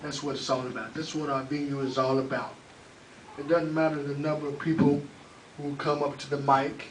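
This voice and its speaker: A fairly high-pitched male voice in a flat monotone, with audible room echo and noticeable background noise. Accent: Oklahoma. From Oklahoma, Oklahoma City. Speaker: open mic host and spoken word poet. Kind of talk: spoken word poetry performance; open mic hosting.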